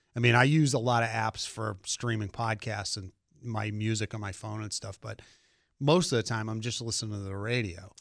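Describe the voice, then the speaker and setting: In a very clean recording with a silent background, a man with a normal speaking voice of medium pitch talks at a moderate pace with ordinary pitch variation and big swings in loudness. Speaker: car journalist guest. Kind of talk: casual radio chat about cars. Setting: radio studio.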